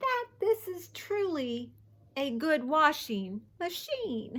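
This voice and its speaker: A woman's put-on character voice, high and squeaky, with very wide pitch swings at a very slow pace. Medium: read story.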